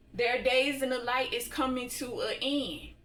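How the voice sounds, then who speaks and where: A woman's high, fairly even voice at a fairly slow pace, with audible room echo. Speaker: spiritual tarot reader. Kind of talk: tarot reading monologue.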